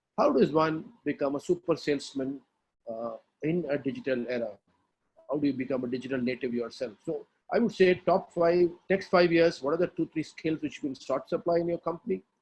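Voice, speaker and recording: Lively intonation and a fairly quick pace mark a normal speaking voice. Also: man, fairly high pitch for a man. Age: 60s. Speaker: industry expert, educator. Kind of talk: webinar panel discussion.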